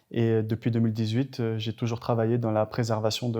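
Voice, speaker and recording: A man's dark, mellow tone at medium pitch with monotone, flat intonation. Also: very clean recording, silent background. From Madagascar. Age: 20s. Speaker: government minister. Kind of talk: interview. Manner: hesitant, frequent fillers.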